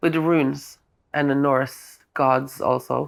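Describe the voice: Slow and with vocal fry, a woman speaks at an extremely low pitch, her intonation fairly even.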